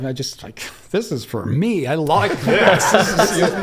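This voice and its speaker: Audible room echo and noticeable background noise surround a man with an American accent who speaks at a moderate pace in a fairly high voice. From upstate New York. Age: 60s. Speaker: cannabis breeder. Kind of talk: casual interview.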